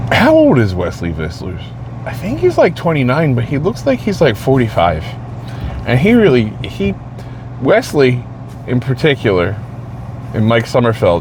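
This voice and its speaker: An American man talks at a moderate pace and medium pitch, his intonation lively with long, frequent pauses. Noticeable background noise is present. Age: 40s. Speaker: vlogger, shift worker and amateur bodybuilder. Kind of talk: casual monologue vlog. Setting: in a car after a shift.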